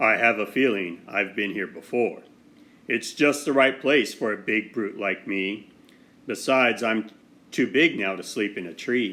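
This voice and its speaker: A man's growling, put-on character voice at medium pitch and a moderate pace. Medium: read story.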